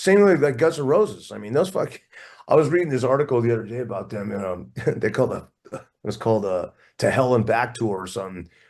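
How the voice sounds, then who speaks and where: In an American accent, a man talks at a very fast pace with a medium pitch and an animated tone. His pitch swings very widely, his loudness swings a lot, and the background is quiet. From US West Coast, Oakland, California. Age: 60s. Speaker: rock drummer. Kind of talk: casual interview chat.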